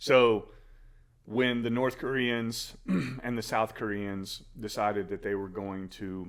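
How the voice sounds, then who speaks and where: A man with an American accent, fairly even intonation and a very slow pace. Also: medium pitch for a man. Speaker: podcast co-host. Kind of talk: casual podcast conversation.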